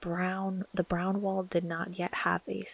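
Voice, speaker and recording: A woman speaks at a moderate pace in a fairly low voice with vocal fry, recorded dry and close with no echo. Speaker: Minecraft let's play YouTuber. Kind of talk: casual talk to camera, gameplay commentary.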